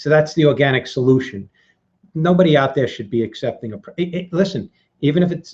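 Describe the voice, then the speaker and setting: Fairly quick, somewhat breathy speech from a man with a fairly high pitch and lively intonation. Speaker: vape reviewer hosting a workshop. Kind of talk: live tutorial. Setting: live video hangout. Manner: fast; animated.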